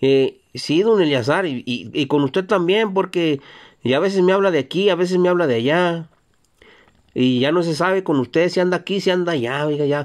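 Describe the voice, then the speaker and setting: Against a quiet background, a man talks at a moderate pace in a high pitch with ordinary pitch variation. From Mexico, Zacatecas. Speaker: YouTuber reading viewer greetings. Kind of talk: casual greetings show. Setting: Jalpa, Zacatecas. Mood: relaxed, joking. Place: car. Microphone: phone near.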